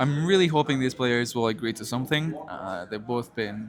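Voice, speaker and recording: Noticeable background noise sits under a man of medium pitch who talks at a moderate pace with ordinary pitch variation. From Belgium (Flanders). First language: Dutch (Flemish). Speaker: esports caster. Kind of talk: live commentary. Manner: hesitant, many fillers and restarts.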